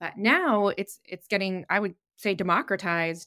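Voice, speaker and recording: A woman speaks at a fairly slow pace with an ordinary speaking voice, her pitch medium. The recording is very clean, with a silent background. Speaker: product marketing director. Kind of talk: podcast interview. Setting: virtual studio.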